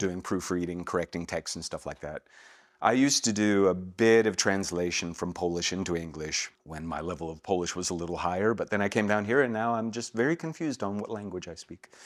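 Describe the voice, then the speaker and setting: The speaker has a Southern US accent. The delivery moves at a fairly quick pace. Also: man, very deep, low pitch for a man, ordinary pitch variation, very clean recording, silent background. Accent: American Southern. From United States. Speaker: voice actor. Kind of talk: interview answer. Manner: casual, relaxed.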